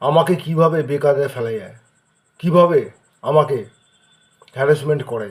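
Somewhat breathy and fairly high-pitched, a man speaks with ordinary pitch variation and big swings in loudness. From Kolkata, India. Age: 40s. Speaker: local resident making a public complaint. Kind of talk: personal video appeal. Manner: halting.

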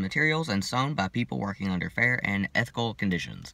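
At a fairly quick pace, a man speaks with ordinary pitch variation in a dry sound with no echo. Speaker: vlogger. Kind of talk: casual vlog chat. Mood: slightly awkward, amused. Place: car. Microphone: phone near.

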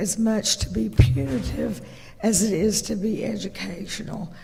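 A woman's medium-pitched voice with vocal fry, lively intonation and an American accent. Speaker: county commissioner. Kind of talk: public meeting presentation. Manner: halting, many fillers.

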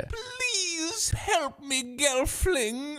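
A put-on character voice with a high pitch swings very widely up and down. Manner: pleading.

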